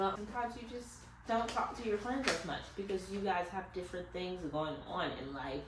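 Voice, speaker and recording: A woman speaks at a moderate pace in a medium pitch with lively intonation. Noticeable background noise and audible room echo are present. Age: 20s. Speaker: YouTuber. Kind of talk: casual chat. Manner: informal conversational.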